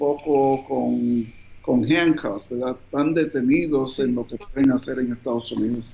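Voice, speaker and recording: The man's pitch moves in an ordinary way. He talks fairly slowly. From New Jersey, raised by Colombian parents. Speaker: physician. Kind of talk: interview.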